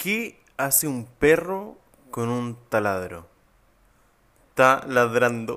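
Very wide pitch swings mark this man's bright, sharp tone. He talks at a very slow pace with long, frequent pauses. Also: medium pitch for a man. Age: 20s. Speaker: podcast host, new father. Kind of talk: casual chat.

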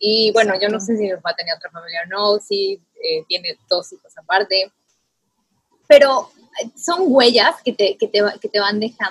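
This is an ordinary speaking voice at a fairly slow pace. Its loudness swings widely. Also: woman, fairly high pitch for a woman. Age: 30s. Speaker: podcast host. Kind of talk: casual chat.

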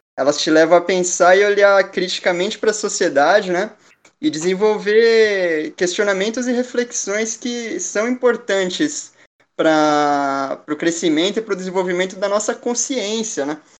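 The speech comes at a fairly slow pace with lively intonation. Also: man. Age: 20s. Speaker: law student. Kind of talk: casual chat.

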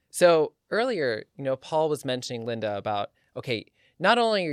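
A man speaks at a moderate pace, his pitch fairly high and swinging very widely. The recording is very clean, with a silent background. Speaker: podcast host. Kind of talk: casual podcast chat. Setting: studio.

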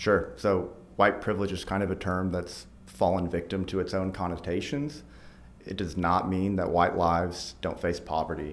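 Audible room echo carries a man's very deep, low voice with an American accent, ordinary pitch variation and a moderate pace. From Arkansas, US South. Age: 30s. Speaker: nonprofit team member. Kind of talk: podcast interview.

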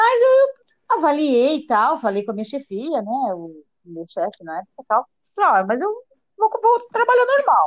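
High-pitched woman at a moderate pace, with very wide pitch swings, big shifts in loudness and a dry, close sound with no echo. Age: 50s. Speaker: social worker. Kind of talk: casual chat.

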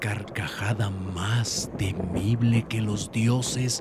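The voice reads unforced. Intonation is fairly even throughout.

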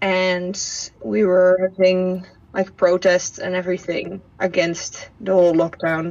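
With a Dutch accent, a woman speaks fairly slowly at medium pitch and fairly even intonation amid noticeable background noise. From southern Netherlands. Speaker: former au pair. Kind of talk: interview. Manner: halting.

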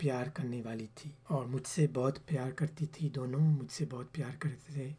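With a French accent, the speaker sounds somewhat breathy, with a dark, mellow tone and monotone, flat intonation. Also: man. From France (Paris), born in Pakistan. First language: French (speaking Urdu). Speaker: engineer. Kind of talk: interview.

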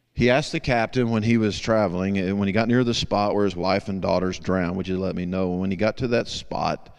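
With a Southern US accent, a man speaks in a very deep, low voice with ordinary pitch variation. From US South. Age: 50s. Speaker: guest preacher. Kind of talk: sermon.

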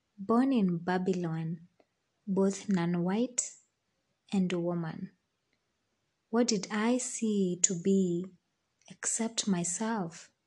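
A woman's somewhat breathy, dark, mellow voice at medium pitch, with fairly even intonation, a very slow pace, and long, frequent pauses. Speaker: podcaster. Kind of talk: poetry reading. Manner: measured, reflective.

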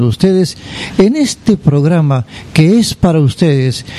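Despite noticeable background noise, a man's fairly high-pitched, warm voice comes through with lively intonation and a dry, close sound with no echo. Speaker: radio host. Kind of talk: radio presenting. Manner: warm, announcer-style.

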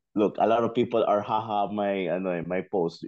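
Here a man speaks with a Filipino accent. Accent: Filipino English, Taglish code-switching. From Philippines. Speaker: football podcast guest. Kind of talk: casual chat.

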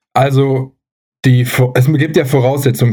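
Over music in the background, a man speaks at a medium pitch and a fairly slow pace. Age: 30s. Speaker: athletic trainer and physiotherapist. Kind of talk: casual chat.

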